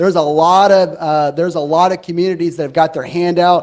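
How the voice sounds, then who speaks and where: He is a man with an American accent and a high pitch. His intonation stays fairly even. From Huntsville, Alabama, US South. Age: 30s. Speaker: city council candidate. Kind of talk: campaign closing statement at candidate forum. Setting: auditorium with live audience.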